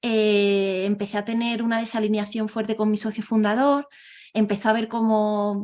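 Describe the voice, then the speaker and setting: In a southern Spanish accent, a woman with a fairly high pitch speaks at a moderate pace in a monotone, flat intonation against a quiet background. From southern Spain. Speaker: organizational transformation consultant. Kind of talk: interview. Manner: hesitant, many fillers.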